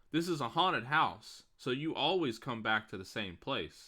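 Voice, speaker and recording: A man performs a put-on character voice at a medium pitch and a moderate pace. The recording is very clean, with a silent background. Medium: game stream.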